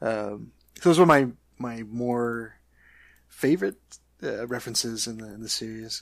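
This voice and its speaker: Pitch varies in an ordinary way as the speaker keeps a moderate pace. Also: man. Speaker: podcast co-host. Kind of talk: casual chat about movies and TV.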